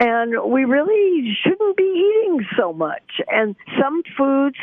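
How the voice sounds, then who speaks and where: A woman speaks at a very slow pace. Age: 80s+. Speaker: nutritionist, professor. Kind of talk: interview answer.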